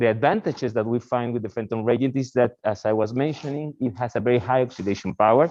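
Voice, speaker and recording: With a Spanish accent, a man talks at a fairly quick pace in a medium-pitched, dark, mellow tone. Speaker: research scientist. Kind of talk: lecture.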